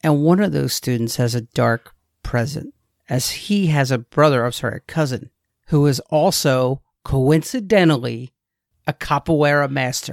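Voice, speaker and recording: The recording is very clean, with a silent background. Speech runs at a moderate pace. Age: 40s. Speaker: movie podcast co-host. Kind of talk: casual chat.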